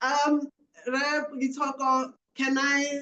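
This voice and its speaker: This woman speaks with a Botswana accent at a high pitch. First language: Setswana. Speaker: panel moderator. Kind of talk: webinar panel moderation.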